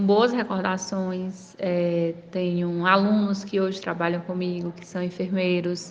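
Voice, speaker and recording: A woman speaks in a Ceará accent at medium pitch. Her intonation is monotone and flat. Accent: Brazilian Northeastern (Cearense) Portuguese. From Brazil, Ceará (interior, São Benedito). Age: 30s. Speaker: city councillor and nurse. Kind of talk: interview. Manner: frequent fillers and hesitations.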